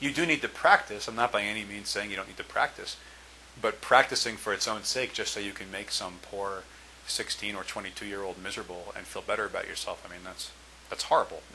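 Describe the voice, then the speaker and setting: Over noticeable background noise, a man speaks very fast at a fairly low pitch, with ordinary pitch variation and big swings in loudness. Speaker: test prep tutor. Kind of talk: tutorial. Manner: hesitant, with fillers and stumbles.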